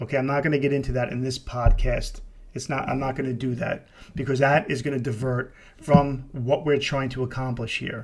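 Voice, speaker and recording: The speaker has an American accent and a somewhat breathy voice. Delivery is fairly quick with monotone, flat intonation. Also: man, medium pitch for a man. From New York City. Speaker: podcast host, deliverance minister, retired police officer. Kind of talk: casual podcast monologue. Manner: halting, many fillers and repetitions.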